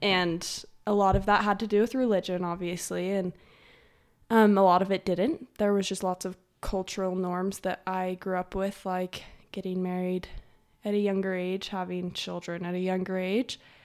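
A woman with an American accent speaks at a moderate pace in a medium pitch with monotone, flat intonation, on a very clean recording with a silent background. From Utah. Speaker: podcast guest. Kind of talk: interview.

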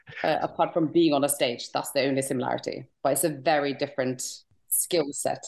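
With a Norwegian accent, a woman talks at a fairly quick pace in a very deep, low pitch. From Norway. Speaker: stand-up comedian. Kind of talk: interview. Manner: animated.

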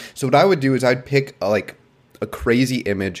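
Here a man speaks in an ordinary speaking voice. His pace is moderate and his pitch variation ordinary. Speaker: podcast co-host.

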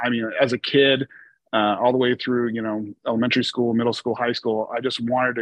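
A man with a normal speaking voice and an American accent, medium in pitch, at a fairly quick pace. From Oregon, US. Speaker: insurance agency CEO. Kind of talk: interview.

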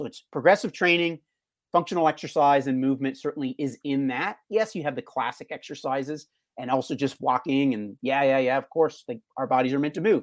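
A normal speaking voice from a man, fairly high in pitch with ordinary pitch variation, a fairly quick pace and a dry, close sound with no echo. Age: 40s. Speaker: fitness coach. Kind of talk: interview. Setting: video call.

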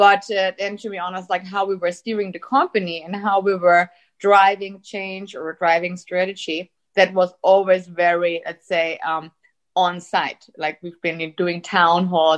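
A German accent, big swings in loudness and a monotone, flat intonation. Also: woman, medium pitch for a woman, fairly slow pace. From Austria. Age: 30s. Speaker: tech company executive. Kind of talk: interview.

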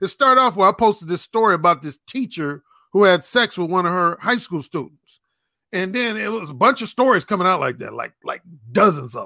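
A man's raised, projected voice, high-pitched with a bright, sharp tone, lively intonation, big swings in loudness and a fairly quick pace, in a dry, close sound with no echo. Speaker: YouTube channel creator. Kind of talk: panel discussion.

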